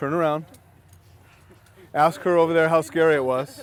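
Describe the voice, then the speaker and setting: An animated man with a fairly high pitch and ordinary pitch variation is heard in a dry recording with no echo and light background noise. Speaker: safety trainer. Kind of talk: hands-on training session. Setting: outdoors. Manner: loud. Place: open country.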